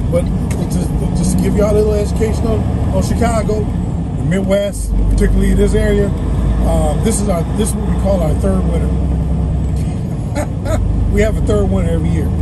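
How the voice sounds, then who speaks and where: A fairly quick pace over loud background noise. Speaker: truck driver vlogger. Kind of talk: casual vlog chat. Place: car. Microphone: phone near.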